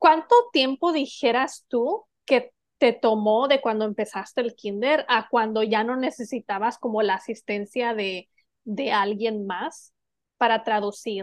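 A woman's normal speaking voice, fairly high in pitch, at a fairly slow pace with ordinary pitch variation. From Mexico. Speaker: podcast co-host. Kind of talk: casual chat.

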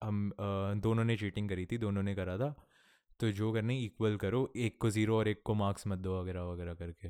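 With a fairly low pitch, a dark, mellow tone and fairly even intonation, a man talks at a moderate pace in a very clean recording with a silent background and a dry, close sound with no echo. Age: 20s. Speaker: podcast host, college student. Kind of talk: casual solo chat. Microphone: new audio interface, good levels.

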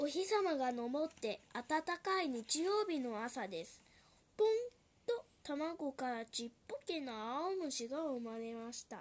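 Her pitch is high and swings very widely as a woman speaks at a very slow pace. Her loudness also rises and falls sharply. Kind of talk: children's picture-book reading aloud in Japanese, translating each English line.

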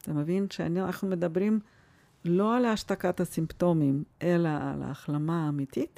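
Speaking at a fairly slow pace in a Russian accent, a woman uses a dark, mellow tone at a fairly low pitch with ordinary pitch variation, in a dry, close sound with no echo. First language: Russian (speaking Hebrew). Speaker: family doctor. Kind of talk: interview.

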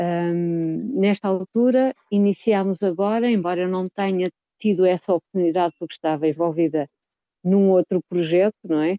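Ordinary pitch variation at a moderate pace. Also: woman, medium pitch for a woman. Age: 50s. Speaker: choir singer. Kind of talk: radio interview. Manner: halting, with repetitions.

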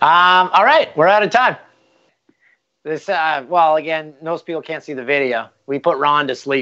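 A plain, everyday voice, a man with a Canadian accent, fairly high pitch, ordinary pitch variation and a moderate pace. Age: 40s. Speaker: podcast co-host. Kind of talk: casual chat.

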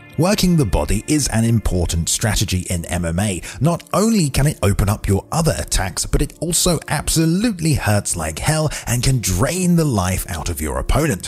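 Noticeable background noise runs through this clip. The speech moves at a moderate pace with very wide pitch swings. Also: man. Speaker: MMA video channel host. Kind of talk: scripted narration of a top-10 list video.

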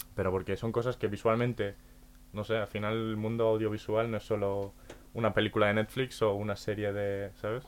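A man talks at a fairly quick pace with fairly low pitch. His intonation is monotone and flat. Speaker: podcast host. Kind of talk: casual chat.

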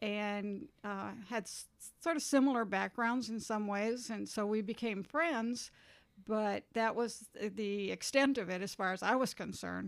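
A woman with an American accent has an unremarkable speaking voice, fairly high in pitch with ordinary pitch variation, talking at a fairly slow pace on a very clean recording with a silent background. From US Midwest. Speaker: community ministry worker. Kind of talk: casual interview conversation.

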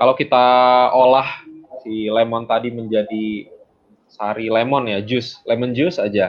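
The speech moves at a fairly slow pace with long, frequent pauses. Intonation stays fairly even. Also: man, medium pitch for a man. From Bandung, West Java, Indonesia (Minang parents). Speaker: agribusiness CEO. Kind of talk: interview. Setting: remote call. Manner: halting, many fillers.

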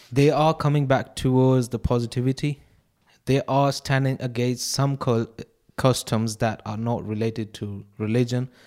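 In a plain, everyday voice, a man talks at a fairly slow pace with fairly even intonation. The recording is very clean, with a silent background. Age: 20s. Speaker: podcast panelist. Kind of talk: casual chat.

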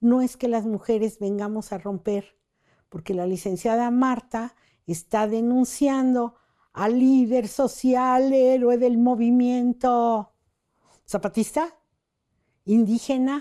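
Against a quiet background, a woman speaks very slowly with a fairly high pitch, a dark, mellow tone and fairly even intonation. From Mexico City. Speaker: feminist human rights lawyer. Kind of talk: interview testimony.

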